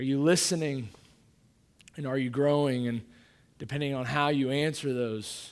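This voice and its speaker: With an American accent, a man of medium pitch speaks at a moderate pace with fairly even intonation, and audible room echo surrounds him. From Kansas City, Missouri. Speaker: pastor. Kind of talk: sermon. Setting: church.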